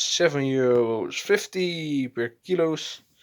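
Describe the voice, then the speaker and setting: This is a man with a Dutch accent. He speaks at a very slow pace. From Netherlands. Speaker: hobbyist video maker. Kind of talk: casual tutorial. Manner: halting, many fillers.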